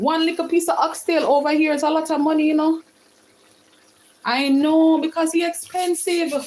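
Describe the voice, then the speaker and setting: Over noticeable background noise, a woman with a Jamaican accent speaks in a high pitch with an animated tone. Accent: Jamaican, with patois. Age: 40s. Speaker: home cook livestreamer. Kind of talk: live cooking stream chatting with viewers.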